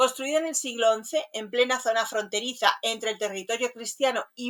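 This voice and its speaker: On a very clean recording with a silent background, a woman with a fairly high pitch uses an ordinary speaking voice at a moderate pace. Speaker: radio host. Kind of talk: radio show presentation.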